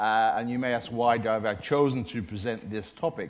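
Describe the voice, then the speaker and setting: With an Irish accent, a man talks at a moderate pace and a medium pitch. His pitch varies in an ordinary way, and room echo is audible. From Ireland. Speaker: management consultant and former corporate IT executive. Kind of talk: conference presentation.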